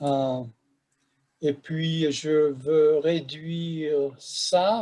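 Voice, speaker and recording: A man's fairly high-pitched voice with a dark, mellow tone and fairly even intonation. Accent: Hungarian. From Hungary, Budapest. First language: Hungarian (speaking French). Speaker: professor. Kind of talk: lecture.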